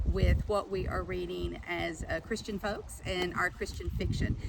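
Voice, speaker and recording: A woman talks in an Appalachian accent. There is noticeable background noise. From southeastern Kentucky. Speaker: author and teacher. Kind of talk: casual talk to camera.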